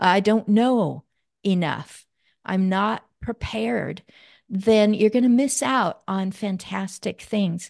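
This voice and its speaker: A woman's medium-pitched voice, very slow in pace and lively in intonation, against a quiet background. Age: 60s. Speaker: aging advocate and author. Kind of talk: casual chat.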